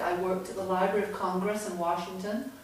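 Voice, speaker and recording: A woman at medium pitch speaks at a fairly quick pace in a monotone, flat intonation. Noticeable background noise and audible room echo are present. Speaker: author and former newspaper editor. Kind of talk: lecture. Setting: stage with audience.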